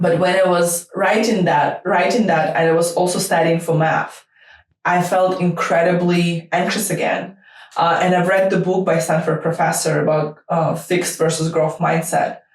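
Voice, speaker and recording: Here is a woman with a Russian accent and a fairly low pitch. She keeps a moderate pace, monotone, flat intonation and very even loudness. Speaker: startup lawyer. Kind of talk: interview answers. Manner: hesitant, many fillers.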